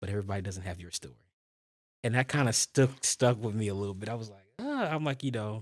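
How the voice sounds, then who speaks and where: In a very clean recording with a silent background and a dry, close sound with no echo, a man talks very fast at a medium pitch with ordinary pitch variation. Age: 20s. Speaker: foster care advocate. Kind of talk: interview. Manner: conversational.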